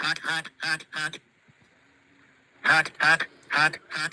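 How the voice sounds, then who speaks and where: In a nasal, put-on character voice, the speaker goes at a very slow pace. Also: man, fairly high pitch for a man. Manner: mocking, imitating a creature.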